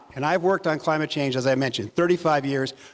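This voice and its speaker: A man speaks at a fairly high pitch, with ordinary pitch variation. Noticeable background noise runs under the clip. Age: 70s. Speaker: climate finance investor. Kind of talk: panel discussion. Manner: animated.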